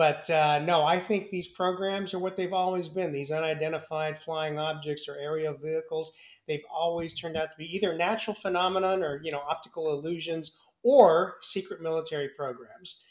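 This man has an unremarkable speaking voice, fairly high in pitch, and talks at a moderate pace. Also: fairly even intonation. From US, San Francisco Bay Area. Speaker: former astronaut. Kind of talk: interview.

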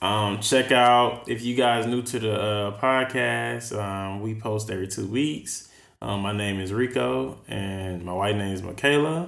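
Audible room echo surrounds a man with a fairly low pitch and lively intonation. He talks at a fairly slow pace with hardly any pauses. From Texas. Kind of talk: casual chat.

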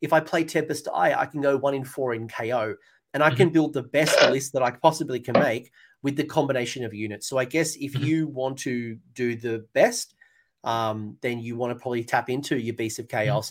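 A man with an Australian accent talks fairly quickly at medium pitch with ordinary pitch variation. The recording is very clean, with a silent background. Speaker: tabletop wargaming channel host. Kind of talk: casual chat. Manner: animated.

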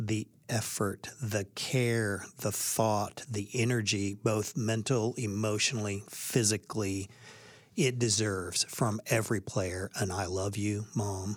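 A man's normal speaking voice with a fairly low pitch, fairly even intonation, and a fairly slow pace. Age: 50s. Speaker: baseball coach. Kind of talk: interview.

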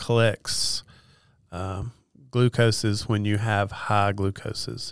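Speaking at a very slow pace, a man with a medium pitch is heard in a very clean recording with a silent background. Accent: Appalachian. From Western North Carolina. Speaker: nurse and diabetes educator. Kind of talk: interview.

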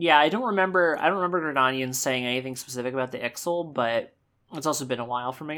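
At a very fast pace, a woman speaks with a very deep, low pitch and ordinary pitch variation. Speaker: podcast host. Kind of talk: casual chat. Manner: casual, hesitant, many fillers.

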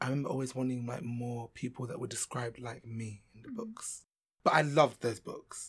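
Somewhat breathy, a man with a London accent speaks with fairly even intonation. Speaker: actor. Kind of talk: casual interview.

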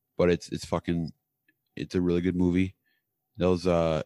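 Over a very clean recording with a silent background, a man with an American accent speaks in a very deep, low voice with a dark, mellow tone. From US Midwest. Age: 30s. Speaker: podcast co-host. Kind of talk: casual chat.

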